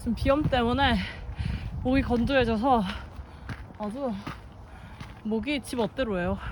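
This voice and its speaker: A woman talks at a high pitch and a moderate pace with ordinary pitch variation. She takes long, frequent pauses. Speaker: hiking vlogger. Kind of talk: casual vlog narration while hiking. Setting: outdoors on a mountain trail.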